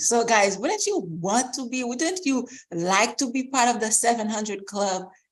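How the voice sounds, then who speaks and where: Her tone is animated and her intonation lively. The woman talks at a fairly slow pace with a fairly high pitch. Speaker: credit rehabilitation coach. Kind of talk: online expo presentation.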